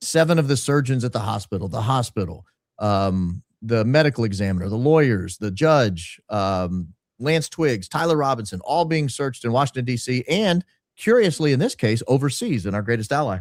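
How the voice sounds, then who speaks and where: On a very clean recording with a silent background, a man talks at a moderate pace in a medium pitch with lively intonation. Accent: slight Southern US. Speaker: podcaster and consultant. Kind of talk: interview storytelling.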